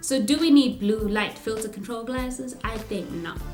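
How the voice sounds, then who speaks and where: Over music in the background, a woman talks at a fairly high pitch with ordinary pitch variation. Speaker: product reviewer. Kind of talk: casual product review to camera.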